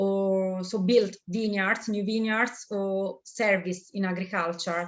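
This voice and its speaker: A woman with an Italian accent, medium-pitched, very slow, in a monotone, flat intonation. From Italy, Tuscany (Chianti). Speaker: winemaker. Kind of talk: interview. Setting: video call. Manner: halting, many fillers.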